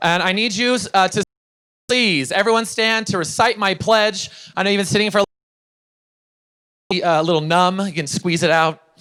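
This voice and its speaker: A bright, sharp, raised and projected voice at a moderate pace, with ordinary pitch variation, in a very clean recording with a silent background. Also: man. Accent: American. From Utah. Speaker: motivational speaker. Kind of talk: conference keynote speech. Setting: stage with audience. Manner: animated.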